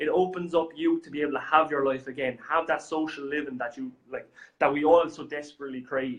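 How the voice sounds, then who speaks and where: With an Irish accent, a man talks at a fairly quick pace in a fairly high pitch, keeping a fairly even intonation while his loudness swings widely. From Ireland. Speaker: software company representative. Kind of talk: business talk show chat. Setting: studio. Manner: halting, many fillers.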